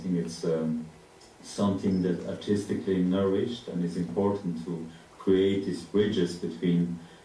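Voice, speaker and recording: Amid audible room echo, a man talks at a fairly slow pace in a very deep, low voice. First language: not English. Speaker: artist. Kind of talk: panel discussion. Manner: halting.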